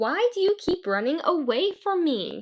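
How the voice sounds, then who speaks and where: A woman puts on a squeaky character voice at an extremely high pitch, with very wide pitch swings. She bellows at a moderate pace. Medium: read story.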